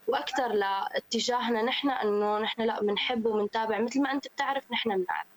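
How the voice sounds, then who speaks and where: A woman talks at a moderate pace with hardly any pauses, her loudness very even. The sound is dry and close with no echo, though noticeable background noise is present. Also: ordinary pitch variation. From Syria. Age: 20s. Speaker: women's football player. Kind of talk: radio interview.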